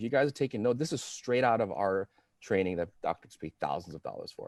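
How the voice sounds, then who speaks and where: Someone speaks in an animated tone at a moderate pace, recorded with a dry, close sound and no echo. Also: man. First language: not English. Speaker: chiropractic practice coach. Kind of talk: live video interview. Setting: Facebook Live video call.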